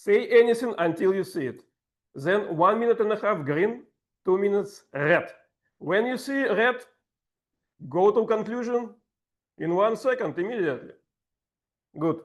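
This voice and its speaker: A man with a high pitch and lively intonation speaks with long, frequent pauses. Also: moderate pace. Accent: strong Russian. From Russia. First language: Russian. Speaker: table topics master at a speaking club. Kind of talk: workshop instruction.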